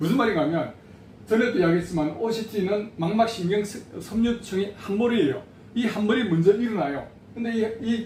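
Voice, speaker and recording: Amid noticeable background noise and audible room echo, a man with a high pitch and lively intonation speaks at a moderate pace. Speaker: patient association president. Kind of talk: educational talk.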